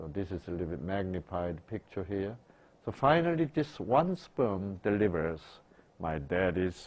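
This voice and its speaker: With very wide pitch swings, a man talks in a fairly low pitch. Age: 60s. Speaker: doctor lecturer. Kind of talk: lecture. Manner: interactive questioning.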